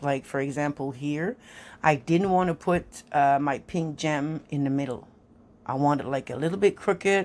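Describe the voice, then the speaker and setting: On a very clean recording with a silent background, a woman talks at a moderate pace with ordinary pitch variation. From French Canada (Quebec). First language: French. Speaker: nail art hobbyist YouTuber. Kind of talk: tutorial. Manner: casual, halting with fillers.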